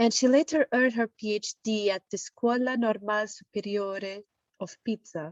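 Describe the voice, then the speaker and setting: A woman talks at a moderate pace in an Italian accent. Her pitch varies in an ordinary way. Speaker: session moderator. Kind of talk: speaker introduction. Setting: online meeting.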